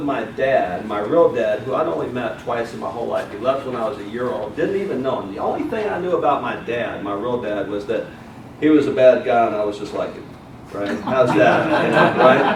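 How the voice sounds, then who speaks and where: A man's lively intonation at a moderate pace, with audible room echo and noticeable background noise. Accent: Southern US. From US South, Mobile, Alabama. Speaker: motivational speaker. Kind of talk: motivational speech. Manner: animated.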